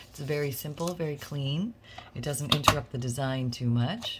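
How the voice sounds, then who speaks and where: Over noticeable background noise, a woman with a very deep, low pitch talks at a fairly quick pace with ordinary pitch variation. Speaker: craft channel host. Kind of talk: tutorial. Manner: casual, chatty.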